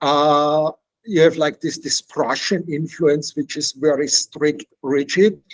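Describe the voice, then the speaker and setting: A man with a slight non-native accent speaks very slowly at a fairly high pitch. His intonation is fairly even, and the sound is dry and close with no echo. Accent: slight foreign. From Austria. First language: Czech. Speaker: author. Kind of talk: interview.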